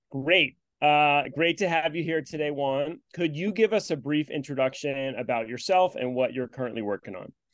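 With a plain, everyday voice, a man talks at a moderate pace with fairly high pitch, ordinary pitch variation, and hardly any pauses. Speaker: podcast host. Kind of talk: casual interview conversation.

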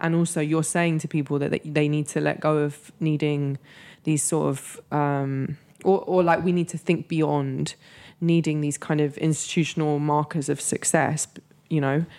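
A woman with a London accent speaks at a moderate pace in a very deep, low, dark and mellow voice with monotone, flat intonation. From North London, England. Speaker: writer and moderator. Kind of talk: interview. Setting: studio.

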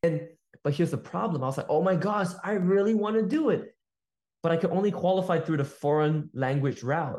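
Here a man speaks at a high pitch and a fairly quick pace. The pitch varies in an ordinary way. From Malaysia. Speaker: sales entrepreneur. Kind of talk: casual chat. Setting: video call. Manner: animated.

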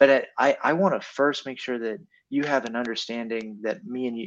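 Against a quiet background, a plain, everyday voice moves at a fairly quick pace with ordinary pitch variation. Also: man. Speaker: co-host.

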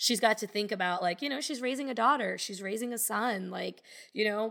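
Vocal fry at a moderate pace with ordinary pitch variation, in a very clean recording with a silent background. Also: woman. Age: 30s. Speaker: memoir author. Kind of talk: casual interview chat.

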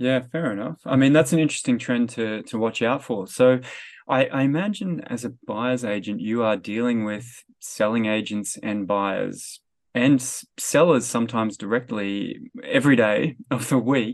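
At a moderate pace and with ordinary pitch variation, a normal speaking voice comes through against a quiet background. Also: man, medium pitch for a man. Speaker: podcast host and economist. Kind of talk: casual interview chat.

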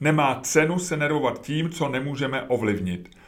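With audible room echo, a man speaks at a fairly quick pace with lively intonation. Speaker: podcaster and writer. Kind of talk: reading aloud.

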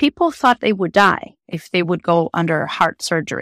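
A woman with a Portuguese accent is heard on a very clean recording with a silent background and a dry, close sound with no echo. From Brazil. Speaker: psychotherapist. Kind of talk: interview.

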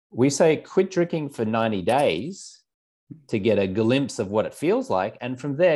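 With an Australian accent, a man speaks with very wide pitch swings. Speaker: alcohol-free lifestyle coach. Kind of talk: interview.

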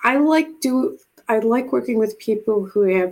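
A woman with an American accent, dark, mellow tone, ordinary pitch variation and a very slow pace. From Buffalo, New York. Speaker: retired navy officer and animal communicator. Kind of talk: interview conversation.

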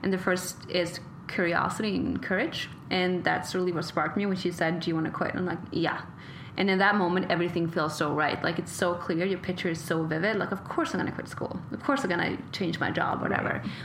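Noticeable background noise and audible room echo surround this woman's voice. She talks at a very fast pace with a fairly low pitch and fairly even intonation. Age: 20s. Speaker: podcast host and model. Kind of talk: interview conversation.

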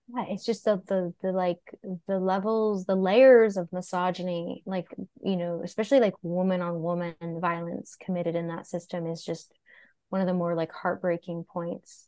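A woman with an American accent speaks in an ordinary speaking voice at a moderate pace, her medium pitch held in fairly even intonation. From New York City, Greenwich Village. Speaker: podcast host and women's health educator. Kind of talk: casual chat.

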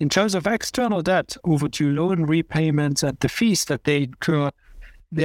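Delivered at a moderate pace in a plain, everyday voice, the speech has lively intonation and a dry, close sound with no echo. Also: man. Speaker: podcast host and security policy academic. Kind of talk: conversational analysis of news.

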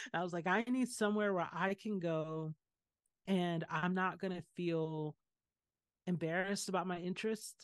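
Speaking at a moderate pace with long, frequent pauses, a woman uses a fairly low pitch and fairly even intonation, recorded with a dry, close sound and no echo. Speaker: artist and poet. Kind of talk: casual chat.

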